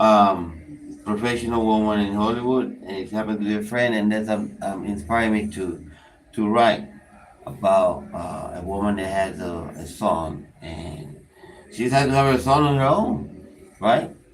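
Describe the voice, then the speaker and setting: A man with a Spanish accent, fairly low in pitch, with lively intonation at a fairly slow pace, plus audible room echo and noticeable background noise. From Panama. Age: 30s. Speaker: prison inmate, channel creator. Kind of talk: casual chat.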